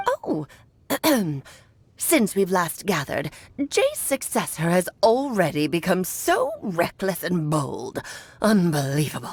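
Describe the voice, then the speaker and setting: Using a put-on character voice at medium pitch, a woman talks at a fairly slow pace, leaving long, frequent pauses. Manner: condescending, scolding.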